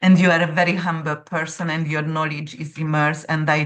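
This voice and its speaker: A woman's very deep, low voice with a non-native accent, flat and monotone, at a moderate pace. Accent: noticeable foreign. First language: not English. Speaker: astrologer. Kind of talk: interview conversation.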